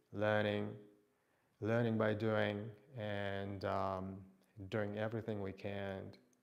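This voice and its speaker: In a room with audible echo, a man speaks at a fairly slow pace and a fairly low pitch, his intonation monotone and flat. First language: not English. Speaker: fitness instructor. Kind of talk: live workout stream talk. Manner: halting.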